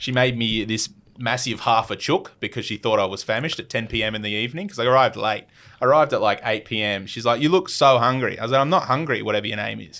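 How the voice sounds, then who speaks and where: In a very clean recording with a silent background, a man with an Australian accent talks at a very fast pace, his medium pitch showing ordinary variation and a bright, sharp tone. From Australia, Adelaide. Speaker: YouTuber, travel vlogger. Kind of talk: casual chat. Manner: animated.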